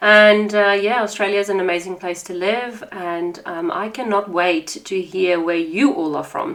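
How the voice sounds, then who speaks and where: A woman with a South African accent speaks at a medium pitch over noticeable background noise. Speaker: podcast host. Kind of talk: podcast monologue. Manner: warm, conversational.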